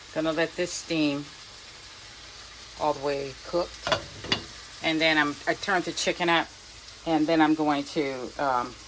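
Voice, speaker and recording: Amid noticeable background noise, a woman with a very deep, low pitch speaks at a fairly slow pace in a monotone, flat intonation with long, frequent pauses. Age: old. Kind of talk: casual cooking vlog narration.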